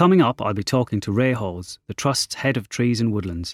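Recorded very cleanly against a silent background, a man speaks at medium pitch and a moderate pace. It is a normal speaking voice with a dry, close sound and no echo.

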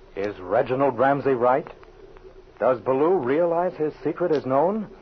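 Against noticeable background noise, a man delivers his words at a fairly slow pace. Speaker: announcer. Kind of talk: scripted narration.

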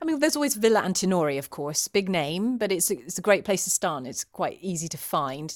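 A woman talks at a very fast pace with hardly any pauses and very wide pitch swings around a medium pitch. The recording is very clean, with a silent background. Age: 40s. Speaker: drinks writer and TV presenter. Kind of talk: casual chat. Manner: animated.

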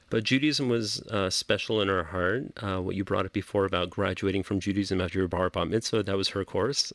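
This man has a Californian accent. His pitch is fairly low. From Los Angeles. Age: 40s. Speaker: rabbi. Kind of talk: interview. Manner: laid back.

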